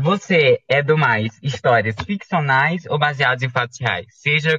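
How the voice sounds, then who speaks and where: This man has an ordinary speaking voice. His intonation is lively. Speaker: podcast host. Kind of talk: casual interview chat. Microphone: microphone problem, audio sounds odd.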